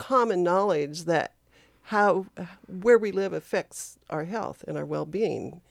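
In a normal speaking voice with an American accent, a woman talks at a fairly slow pace with ordinary pitch variation, and the very clean recording with a silent background sounds dry and close with no echo. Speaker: public health worker. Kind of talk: radio interview. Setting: studio.

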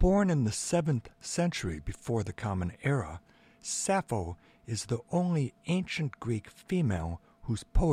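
Just plain reading aloud

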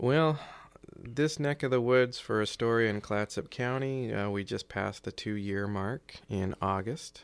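An American-accented man with an unremarkable speaking voice talks fairly slowly at medium pitch with ordinary pitch variation, on a very clean recording with a silent background. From South Carolina, near Charleston. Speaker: emergency management coordinator and military reservist. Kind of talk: interview conversation. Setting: studio.

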